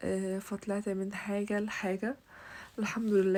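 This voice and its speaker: Monotone, flat intonation from a woman at a medium pitch, her tone dark and mellow. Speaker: bridal home decorator, YouTuber. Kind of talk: home tour vlog. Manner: hesitant, with fillers.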